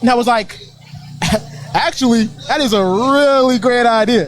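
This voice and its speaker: An extremely high male voice against noticeable background noise. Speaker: rapper. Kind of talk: casual interview. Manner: halting.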